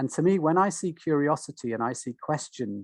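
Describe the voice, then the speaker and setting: On a very clean recording with a silent background, a man speaks at a fairly slow pace with ordinary pitch variation. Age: 60s. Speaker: nature connection guide and wellbeing author. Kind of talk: interview. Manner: halting, many false starts.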